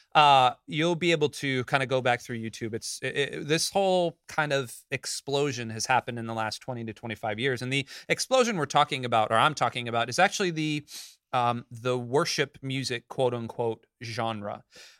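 A man talks in a normal speaking voice at a medium pitch and a moderate pace, with ordinary pitch variation, in a very clean recording with a silent background and a dry, close sound with no echo. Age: 30s. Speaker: church podcast host. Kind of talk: casual chat.

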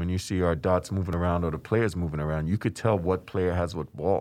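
A man speaks at a very fast pace. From Trinidad. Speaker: sports tech company co-founder. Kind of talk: interview. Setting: studio.

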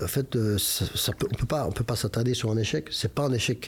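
A man speaks at a moderate pace with ordinary pitch variation and some vocal fry. His pitch sits in the medium range, and the recording is very clean with a silent background. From Belgium, Brussels (Molenbeek). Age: 50s. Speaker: football club president. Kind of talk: interview. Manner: hesitant, many repetitions.

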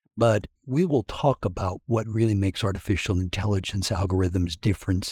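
A man with an American accent speaks at a moderate pace and a fairly low pitch, in a dark, mellow, somewhat breathy tone. The recording is very clean, with a silent background. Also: dry, close sound with no echo. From Kansas. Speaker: technology consultant and podcast co-host. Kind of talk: casual professional discussion. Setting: audio program.

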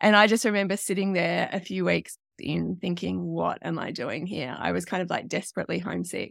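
A woman with an Australian accent speaks at a fairly quick pace with hardly any pauses, on a very clean recording with a silent background. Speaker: online riding coach. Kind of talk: interview conversation.

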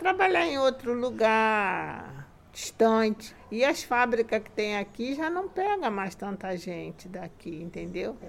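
A woman speaks fairly slowly at a fairly high pitch. Her pitch swings very widely and her loudness rises and falls a lot. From Rio de Janeiro, Brazil (Guadalupe). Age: 70s. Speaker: retired factory worker. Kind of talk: casual interview.

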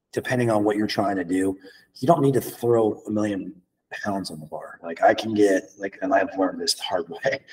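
A man speaks with a fairly low pitch and a somewhat breathy voice. His pace is fairly quick. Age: 30s. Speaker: fitness trainer. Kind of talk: casual chat.

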